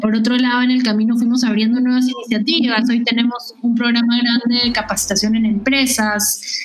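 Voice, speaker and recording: A woman with a Peruvian accent speaks at a high pitch and moderate pace, her intonation monotone and flat and her loudness very even, against noticeable background noise. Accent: Peruvian Spanish (Lima). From Peru, Lima. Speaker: tech education entrepreneur. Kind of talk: interview.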